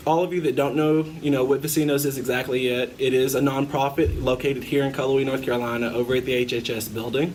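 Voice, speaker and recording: Very fast and with hardly any pauses, a man speaks at a medium pitch with fairly even intonation over noticeable background noise. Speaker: student interviewer. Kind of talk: interview.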